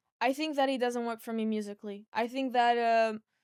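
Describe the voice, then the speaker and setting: Flat, monotone speech comes through on a very clean recording with a silent background. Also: woman. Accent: Portuguese. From Portugal, Porto. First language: Portuguese. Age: 20s. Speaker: singer-songwriter. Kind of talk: podcast interview. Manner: halting.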